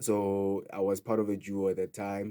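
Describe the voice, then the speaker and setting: A man with a Sotho accent speaks at a fairly low pitch in a dark, mellow tone. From South Africa, Free State (Kroonstad). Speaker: DJ and house music producer. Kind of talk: radio interview. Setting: radio studio.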